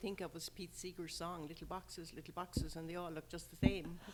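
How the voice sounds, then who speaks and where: Moving at a fairly quick pace, a woman speaks at a fairly low pitch. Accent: slight Irish. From Ireland, rural. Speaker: sports event organizer. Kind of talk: interview. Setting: podcast.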